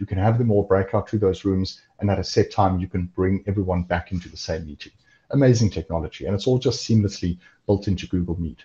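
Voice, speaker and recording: Against a quiet background, a somewhat breathy voice with a dark, mellow tone talks at a very fast pace with ordinary pitch variation. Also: man, fairly low pitch for a man, big swings in loudness. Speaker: cloud software engineer. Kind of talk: webinar presentation. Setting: online webinar video call. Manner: lots of fillers (um, uh).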